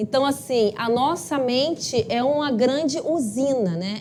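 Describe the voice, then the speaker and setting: A woman's high-pitched voice with lively intonation at a fairly slow pace, over noticeable background noise. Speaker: spiritist study group lecturer. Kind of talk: lecture. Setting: live-streamed talk with audience, microphone.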